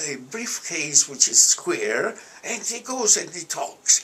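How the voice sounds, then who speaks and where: Noticeable background noise sits behind a man with an Italian accent who speaks at a very slow pace. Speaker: alumnus and economist. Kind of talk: interview. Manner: halting.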